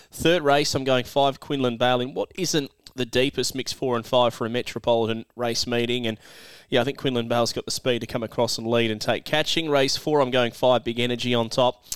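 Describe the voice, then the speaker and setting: With an Australian accent, a man speaks at a fairly quick pace in a medium pitch. His intonation is fairly even, and the sound is dry and close with no echo. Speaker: greyhound racing podcast host and tipster. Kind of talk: racing tips podcast.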